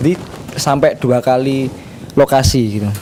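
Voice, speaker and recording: There is noticeable background noise as a man speaks at a moderate pace with a fairly high pitch. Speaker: reporter. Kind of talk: casual chat. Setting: video call. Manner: halting.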